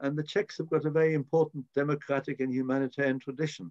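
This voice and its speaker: With a British accent, a man with a fairly high pitch speaks in a dry, close sound with no echo. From born in Prague, raised in Britain from age six. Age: 80s+. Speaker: politician, member of the House of Lords. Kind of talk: interview answer.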